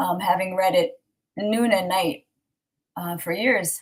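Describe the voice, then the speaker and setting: The voice sounds somewhat breathy. It moves at a moderate pace. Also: woman. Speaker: online Torah class teacher. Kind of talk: online class talk. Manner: halting.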